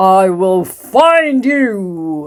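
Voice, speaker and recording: This woman uses a put-on character voice. Her pitch is medium. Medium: read story. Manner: teasing, sly.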